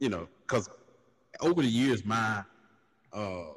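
A man with a Carolinas accent speaks at a moderate pace with ordinary pitch variation. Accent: Southern US (Carolinas). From US South, Lancaster, South Carolina. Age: 40s. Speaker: podcast host, truck driver. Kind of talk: casual chat. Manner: animated, laughing.

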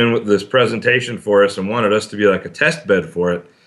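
An unremarkable speaking voice belongs to a man with an American accent, fairly low pitch and a fairly quick pace. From Arizona. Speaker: city councilman. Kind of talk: interview.

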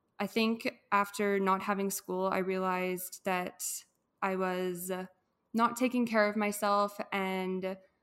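Speaking with a Canadian accent, a woman uses a medium pitch. Her intonation is fairly even. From Edmonton, Alberta, Canada. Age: 20s. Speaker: wellness influencer. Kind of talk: casual chat.

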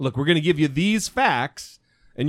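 A man with an American accent speaks in an ordinary speaking voice, pitched fairly high, with lively intonation. The sound is dry and close with no echo, on a very clean recording with a silent background. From US, northern Idaho. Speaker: podcast host. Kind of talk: casual chat.

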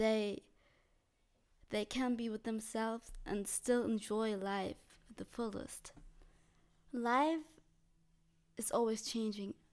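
A very slow pace with long, frequent pauses and fairly even intonation. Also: woman, fairly high pitch for a woman. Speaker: podcaster. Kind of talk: casual solo monologue. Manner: hesitant, filler-heavy, laughs often.

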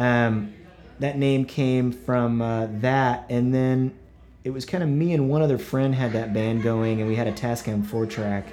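A man speaks with an American accent at a fairly slow pace and medium pitch. He has an unremarkable speaking voice with fairly even intonation. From Oklahoma. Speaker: rock 'n roll musician touring artist. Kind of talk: casual interview chat.

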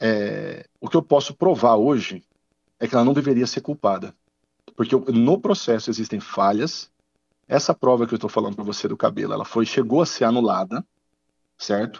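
A man's medium-pitched voice at a moderate pace, with lively intonation and long, frequent pauses. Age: 40s. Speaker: lawyer. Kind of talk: interview. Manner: halting.

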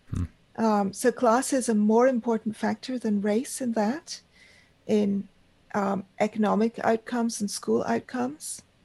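Dark, mellow, somewhat breathy tones from a woman at a fairly high pitch and fairly slow pace, dry and close with no echo, over a quiet background. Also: fairly even intonation. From Pakistan. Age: 50s. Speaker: magazine editor. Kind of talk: interview. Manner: halting.

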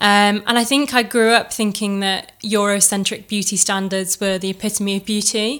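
A woman speaks at a moderate pace with hardly any pauses, her pitch medium. Her intonation is flat and monotone, with an East Midlands accent. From Chesterfield, England. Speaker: recent law graduate and content creator. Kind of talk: casual interview. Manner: hesitant, with many fillers.

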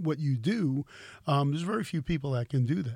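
This man has a dark, mellow tone, a fairly high pitch, and a somewhat breathy quality. He talks fairly quickly with lively intonation on a very clean recording with a silent background. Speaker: podcast host and guitar store owner. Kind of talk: casual interview chat. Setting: guitar store. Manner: chatty, friendly.

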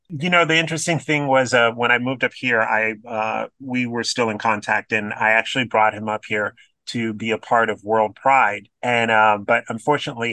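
An American-accented man's bright, sharp voice at medium pitch, with ordinary pitch variation. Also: dry, close sound with no echo, quiet background. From Florida. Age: 50s. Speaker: drag queen and community activist. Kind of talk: casual chat.

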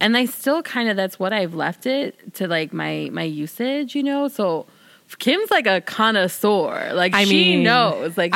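Woman's medium-pitched voice in a Southern Californian accent, with lively intonation and a fairly slow pace. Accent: Valley Girl. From South Side of Chicago. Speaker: podcast co-host or guest.

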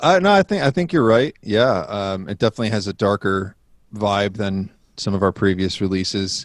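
With an American accent and a fairly low pitch, a man talks at a moderate pace with ordinary pitch variation in a very clean, dry, close recording with no echo and a silent background. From Rochester, New York. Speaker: rock band guitarist and singer. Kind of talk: casual interview.

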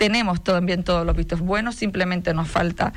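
A woman talks at a moderate pace in a fairly low pitch, with vocal fry. Her intonation stays fairly even. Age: 40s. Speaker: mayor and politician. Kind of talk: radio interview. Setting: radio studio.

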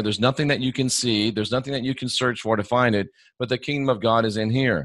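In a very clean recording with a silent background, a man talks at a very fast pace, his medium pitch showing ordinary variation. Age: 50s. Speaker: Bible scholar and former evangelist. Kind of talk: casual interview conversation.

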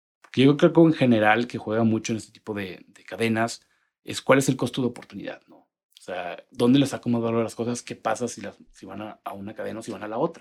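At a fairly quick pace, a man uses an ordinary speaking voice at medium pitch, with ordinary pitch variation and big swings in loudness. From Monterrey, northern Mexico. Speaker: petrochemical industry strategy manager. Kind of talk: interview.

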